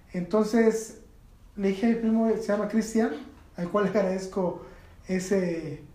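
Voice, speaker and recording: Fairly slow speech from a man with a high pitch, fairly even intonation, and audible room echo. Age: 40s. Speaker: skateboarder and communicator. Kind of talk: casual chat.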